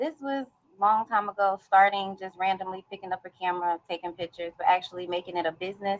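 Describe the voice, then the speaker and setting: A soft-spoken woman talks in a medium-pitched voice with ordinary pitch variation. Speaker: podcaster and motivational speaker. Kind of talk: interview.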